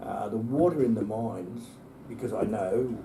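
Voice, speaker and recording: A man speaks at a medium pitch with ordinary pitch variation and an Australian accent, and audible room echo surrounds his voice. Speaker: environmental campaigner. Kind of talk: interview.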